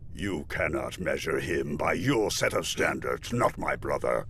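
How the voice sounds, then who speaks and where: A man performs a cartoonish character voice at a moderate pace. Clear background noise can be heard behind him. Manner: stately, firm.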